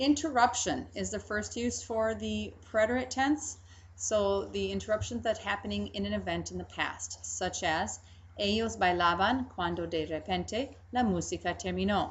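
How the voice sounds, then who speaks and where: Moderate-paced speech from a woman, audible room echo around it. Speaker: Spanish teacher. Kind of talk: lecture.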